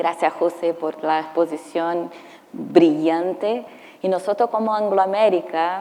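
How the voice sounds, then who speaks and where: A woman with a non-native accent, fairly low in pitch, at a very slow pace and with fairly even intonation. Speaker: mining company safety executive. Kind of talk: panel discussion. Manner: halting.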